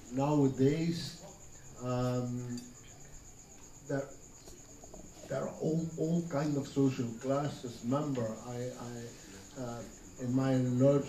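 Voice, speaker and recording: Amid noticeable background noise and audible room echo, a man speaks at a very slow pace with long, frequent pauses, a medium pitch and fairly even intonation. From Belgium. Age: 60s. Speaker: senior freemason. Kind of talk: interview. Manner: halting, many fillers and repetitions.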